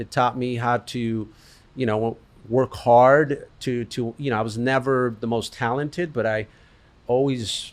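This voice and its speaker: Over a very clean recording with a silent background, a man with a Spanish accent speaks at a moderate pace. His pitch is medium and his intonation fairly even. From Colombia, raised in US from age 6. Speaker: business owner. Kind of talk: interview.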